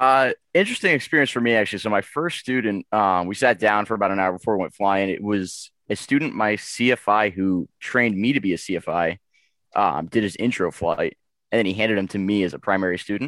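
With an American accent and a normal speaking voice, a man talks at a fairly quick pace in a fairly low pitch with ordinary pitch variation, in a dry, close sound with no echo and a very clean recording with a silent background. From Boston, Massachusetts. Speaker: new flight instructor. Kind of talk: casual panel interview.

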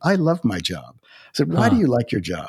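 The man's voice shows vocal fry and has a dry, close sound with no echo. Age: 60s. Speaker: author and former corporate executive. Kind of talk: interview conversation about faith and work.

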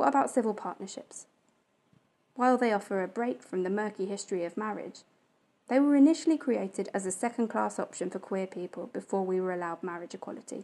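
Talking very fast with lively intonation, a woman uses a medium pitch and a dark, mellow tone on a very clean recording with a silent background. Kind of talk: personal monologue.

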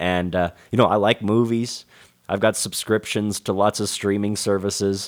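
In a monotone, flat delivery, a man speaks at a moderate pace with a fairly low pitch. The recording is very clean, with a silent background. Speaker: guest co-host. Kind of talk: casual discussion. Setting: studio.

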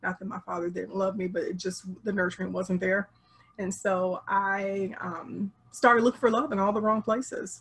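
A woman with an American accent has a normal speaking voice, talking at a moderate pace with a medium pitch and fairly even intonation. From Chicago area, US Midwest. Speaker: relationship coach. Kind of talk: interview. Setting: video call.

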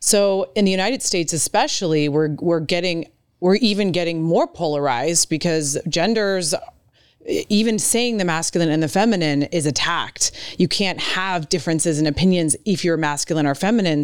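A woman with a plain, everyday voice talks at a fairly low pitch and moderate pace, her intonation lively. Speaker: podcast host. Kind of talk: podcast interview.

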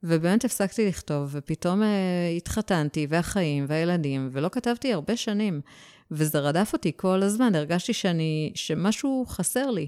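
Her voice is fairly low for a woman, with a dark, mellow tone and lively intonation. She keeps a moderate pace at very even loudness. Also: very clean recording, silent background. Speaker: novelist. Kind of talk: casual interview.

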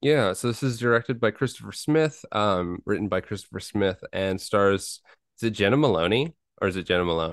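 A man's ordinary speaking voice, fairly low in pitch, with lively intonation and a fairly quick pace, dry and close with no echo against a quiet background. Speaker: horror podcast co-host. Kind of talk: casual chat.

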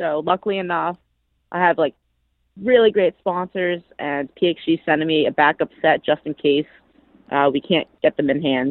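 With a normal speaking voice, this woman's fairly low pitch moves in an ordinary way as she talks at a moderate pace. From US Northeast, Massachusetts. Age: 20s. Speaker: professional golfer. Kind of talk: casual interview.

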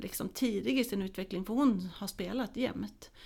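A woman speaks at a moderate pace with a medium pitch, ordinary pitch variation and vocal fry, in a very clean recording with a silent background. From Småland, Sweden. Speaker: football coach educator. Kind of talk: casual interview. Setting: studio.

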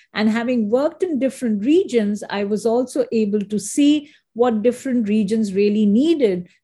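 A woman's fairly high, somewhat breathy voice with a dark, mellow tone, ordinary pitch variation, a moderate pace and hardly any pauses. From India. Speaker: marketing executive. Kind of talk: interview conversation.

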